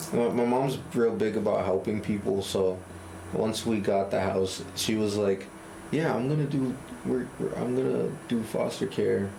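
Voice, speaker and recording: A man at medium pitch with lively intonation, over noticeable background noise. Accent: Boston. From Cambridge, Massachusetts. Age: 20s. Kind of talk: interview answer.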